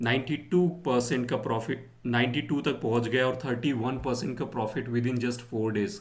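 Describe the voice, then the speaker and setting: There is audible room echo around this man's voice. He speaks at a medium pitch with vocal fry. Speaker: stock market YouTuber. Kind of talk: market analysis tutorial. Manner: slow; hesitant, many fillers.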